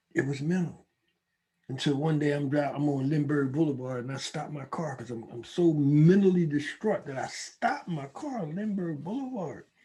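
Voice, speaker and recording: A man with a somewhat breathy, fairly high voice keeps a moderate pace, and his pitch varies in an ordinary way. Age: 70s. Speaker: recovering addict and gun violence researcher. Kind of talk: casual chat.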